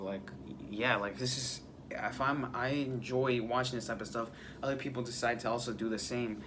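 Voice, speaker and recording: Audible room echo accompanies a man whose intonation stays fairly even. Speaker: vlogger. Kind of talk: casual monologue. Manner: halting.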